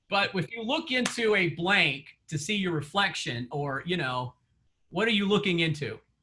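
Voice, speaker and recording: A man's high-pitched voice with a bright, sharp tone, lively intonation, a moderate pace and a Southern accent. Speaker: real estate coach. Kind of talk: coaching session. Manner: conversational, many fillers.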